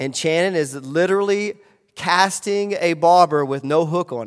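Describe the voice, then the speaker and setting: The recording of this man is very clean, with a silent background. His pitch varies an ordinary amount. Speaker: pastor. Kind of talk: sermon. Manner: loud.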